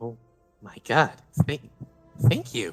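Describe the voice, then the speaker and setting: Over faint background music, a man performs a put-on character voice. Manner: surprised, grateful.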